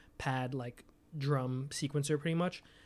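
In a very clean recording with a silent background, a man with an American accent has a normal speaking voice, fairly high in pitch, with fairly even intonation. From New York City, Staten Island. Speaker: music producer and beatmaker. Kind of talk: casual interview chat.

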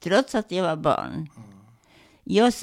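A woman speaks at medium pitch with vocal fry and very wide pitch swings. The recording is very clean, the background silent. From Ternopil region, western Ukraine (then Poland). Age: 90s; 80s+. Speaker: Holocaust survivor. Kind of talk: testimony interview. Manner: halting.

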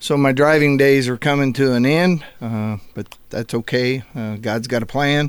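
Fairly even intonation and a fairly slow pace in an unremarkable speaking voice. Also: man, medium pitch for a man. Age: 60s. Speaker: business owner. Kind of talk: casual chat. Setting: studio.

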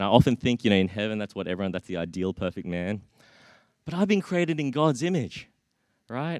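The speaker has an Australian accent and talks at a very fast pace with very wide pitch swings and long, frequent pauses. The recording is very clean and silent in the background, with a dry, close sound and no echo. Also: man, fairly low pitch for a man. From Australia (Brisbane), Australian-born Chinese. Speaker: preacher. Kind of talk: sermon. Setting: church. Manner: halting, frequent repetitions.

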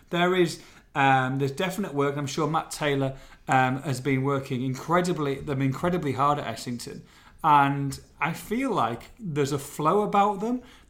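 A man at a fairly high pitch and moderate pace, with audible room echo. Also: ordinary pitch variation. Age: 40s. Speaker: football podcast host. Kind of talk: casual chat.

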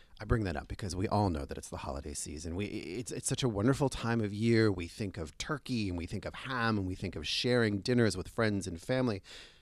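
Very fast, lively speech with hardly any pauses in a very clean recording with a silent background. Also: man, fairly low pitch for a man. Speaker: food and travel show host. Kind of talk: casual interview; scripted intro and outro. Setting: on location in a store.

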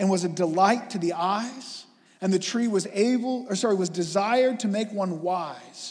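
Ordinary pitch variation in plain reading aloud.

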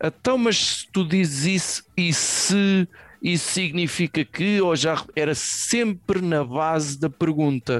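Speaking very slowly in a high pitch, a man uses ordinary pitch variation, with a dry, close sound and no echo. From Portugal, Venda Nova (Lisbon area). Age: 40s. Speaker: podcast co-host. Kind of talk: casual chat. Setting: video call.

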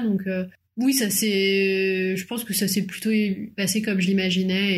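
Somewhat breathy, the voice holds a monotone, flat intonation. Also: woman. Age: 30s. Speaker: young mother. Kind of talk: casual chat.

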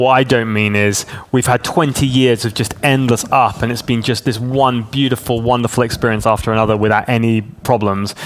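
In a southern English accent, the speaker moves at a fairly quick pace with hardly any pauses. The intonation is fairly even, heard over noticeable background noise. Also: man, medium pitch for a man. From southern England (Hampshire), teens in Hong Kong. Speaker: pastor. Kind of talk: interview.

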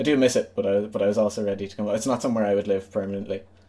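Speaking at a very fast pace in a western Irish accent, a man with a fairly low pitch and a dark, mellow tone keeps his intonation monotone and flat. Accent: Irish (west of Ireland). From Ireland, Galway. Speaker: musician and community radio co-founder. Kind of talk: casual interview chat. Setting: video call.

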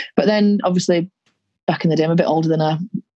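The voice is somewhat breathy, with a dark, mellow tone. It comes in a Yorkshire accent. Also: woman. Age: 30s. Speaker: rugby league player and teacher. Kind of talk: casual interview. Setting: video call.

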